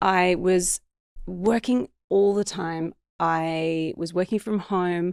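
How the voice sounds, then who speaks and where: Recorded very cleanly against a silent background, a woman talks at a very slow pace and a medium pitch, the sound dry and close with no echo. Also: fairly even intonation. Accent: Australian. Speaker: business coach. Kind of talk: podcast interview. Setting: podcast.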